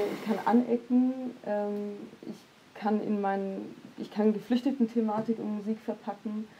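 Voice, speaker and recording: A woman speaks at a fairly high pitch in a monotone, flat intonation. Light background noise is present. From Heilbronn, Germany; Germany. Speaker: poet and social scientist; poet. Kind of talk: panel discussion. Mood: calm, thoughtful. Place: studio. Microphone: lapel.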